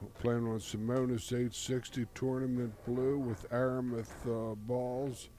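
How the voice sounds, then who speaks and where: In a dark, mellow tone, a man speaks at medium pitch and a fairly slow pace with hardly any pauses, very even loudness and monotone, flat intonation. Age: 70s. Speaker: pool commentator. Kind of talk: live commentary. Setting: commentary booth at pool hall. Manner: halting.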